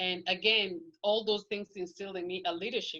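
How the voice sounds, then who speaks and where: A woman speaks with a Kenyan accent. Her intonation stays fairly even. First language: Kikuyu. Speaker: podcast guest. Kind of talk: interview.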